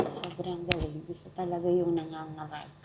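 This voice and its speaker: Soft-spoken and fairly low-pitched, a woman talks amid noticeable background noise and audible room echo. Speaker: travel vlogger. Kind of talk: casual vlog chat. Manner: soft-spoken, lowered voice.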